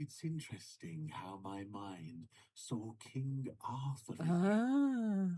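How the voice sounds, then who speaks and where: Putting on a character voice, a man at a medium pitch speaks very slowly, his pitch swinging very widely. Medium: video game. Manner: relaxed, wry.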